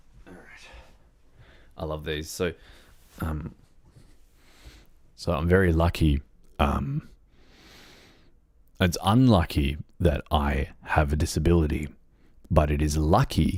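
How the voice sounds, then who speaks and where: A man with a very deep, low pitch and a somewhat breathy voice talks at a fairly slow pace with long, frequent pauses, ordinary pitch variation and big swings in loudness, captured on a very clean recording with a silent background. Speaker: livestreaming gamer. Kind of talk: casual livestream chat. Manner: hesitant, many fillers.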